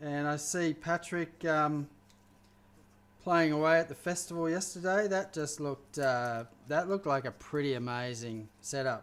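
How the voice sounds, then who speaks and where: This man has an Australian accent. His pitch is fairly high. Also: ordinary pitch variation, moderate pace. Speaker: chef. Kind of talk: live cooking stream chat. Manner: casual, halting with fillers.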